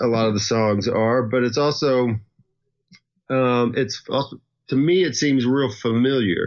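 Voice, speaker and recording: A man with a Southern US accent, medium-pitched, fairly slow, very even in loudness, with ordinary pitch variation. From US South. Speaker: musician. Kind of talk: casual interview chat.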